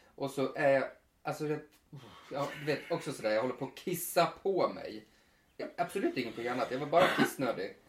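A man's somewhat breathy, fairly high voice at a moderate pace, with ordinary pitch variation and long, frequent pauses. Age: 30s. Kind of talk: casual chat. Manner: animated.

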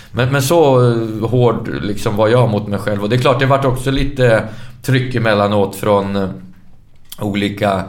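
A man at a fairly slow pace, medium in pitch with ordinary pitch variation, amid audible room echo. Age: 40s. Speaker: former professional footballer. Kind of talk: casual interview.

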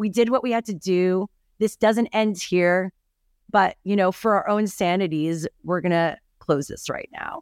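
A woman with a normal speaking voice at a medium pitch talks at a fairly slow pace with ordinary pitch variation, recorded very cleanly against a silent background. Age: 40s. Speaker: TV host and content creator. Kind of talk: interview.

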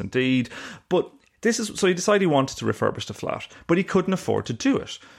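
Against a quiet background, a man with an Irish accent talks at a very fast pace with ordinary pitch variation. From Ireland. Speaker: investigative journalist and author. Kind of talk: casual interview. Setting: remote interview from Glasgow.

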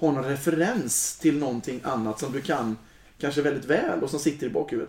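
Here a man talks in a normal speaking voice. His pace is moderate. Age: 40s. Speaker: choir leader. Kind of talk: casual chat.

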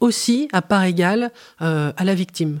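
Recorded very cleanly with a silent background and a dry, close sound with no echo, a woman talks at a fairly slow pace with lively intonation. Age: 50s. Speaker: anthropologist. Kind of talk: interview. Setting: studio recording in Marseille. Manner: hesitant.

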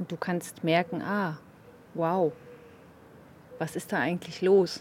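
At a very slow pace, a woman speaks with monotone, flat intonation at a fairly low pitch. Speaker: meditation co-host. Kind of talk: casual conversation about meditation.

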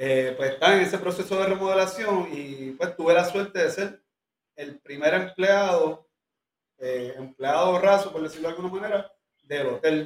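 A man speaks in a high voice at a moderate pace. His pitch varies in an ordinary way. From Puerto Rico. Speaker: restaurant owner. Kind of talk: interview.

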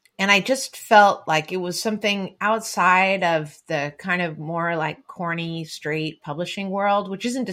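With a Californian accent, a woman speaks at a fairly low pitch in a bright, sharp tone. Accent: American, Californian. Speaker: novelist and essayist. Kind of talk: casual literary interview chat. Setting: remote call from home office.

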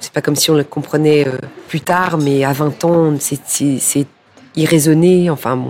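A woman speaks in a monotone, flat way at a fairly slow pace, her pitch very deep and low, with music in the background. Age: 50s. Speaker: public relations director in fashion. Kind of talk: interview.

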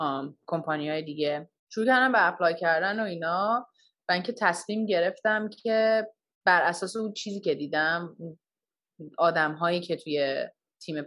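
A woman's unremarkable speaking voice, fairly low in pitch, at a moderate pace with ordinary pitch variation. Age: 20s. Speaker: product design engineer. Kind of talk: casual interview.

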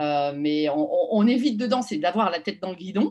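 A woman at a fairly slow pace, with lively intonation. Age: 40s. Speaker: marketing executive. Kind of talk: interview.

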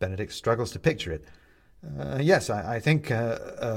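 What you hear is plain reading aloud.

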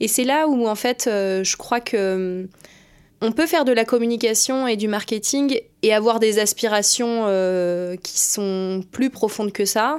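Over a silent background in a very clean recording, a woman with a fairly high voice talks at a very slow pace, her loudness very even and her pitch varying in an ordinary way. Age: 20s. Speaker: strategic planner in advertising. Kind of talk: interview. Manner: hesitant, many fillers.

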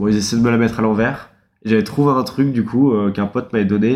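Here is a man with a plain, everyday voice at a medium pitch. His intonation stays fairly even. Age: 20s. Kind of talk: casual chat.

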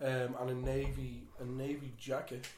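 Against noticeable background noise and audible room echo, a man with an Irish accent talks at fairly high pitch. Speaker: football podcast host. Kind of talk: casual chat.

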